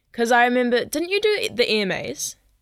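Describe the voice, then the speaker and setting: With a New Zealand accent and very wide pitch swings, a woman speaks at a moderate pace on a very clean recording with a silent background. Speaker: singer-songwriter and podcast host. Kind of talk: casual chat.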